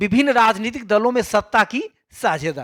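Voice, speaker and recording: A man with a Bihar accent speaks at a moderate pace with lively intonation, in an extremely high pitch and a bright, sharp tone. The recording is very clean, with a silent background. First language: Maithili (speaking Hindi). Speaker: school teacher. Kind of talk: exam paper solution tutorial. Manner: casual, conversational.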